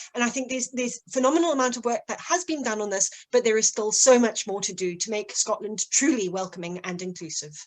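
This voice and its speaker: A woman's fairly high voice at a very fast pace, lively intonation, and hardly any pauses. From Zimbabwe. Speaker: election candidate. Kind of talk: political hustings. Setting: online video call. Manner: halting, repeats words.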